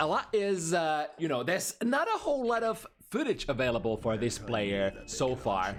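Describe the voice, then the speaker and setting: The speaker has a non-native accent and an animated tone. Music plays in the background. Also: moderate pace. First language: not English. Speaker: esports commentator. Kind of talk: live commentary. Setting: live stream.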